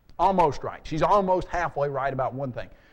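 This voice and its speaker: A man talks in an animated tone. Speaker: apologetics speaker. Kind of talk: seminar lecture. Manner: fast.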